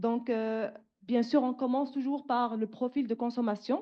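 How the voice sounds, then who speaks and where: Moderate pace and fairly even intonation. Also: woman. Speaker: researcher, panel speaker. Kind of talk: conference presentation. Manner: hesitant, many fillers.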